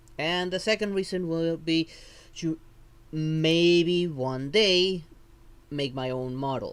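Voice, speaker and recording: The man's intonation is lively. He has a non-native accent. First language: not English. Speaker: vtuber streamer. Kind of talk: live stream tutorial. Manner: halting.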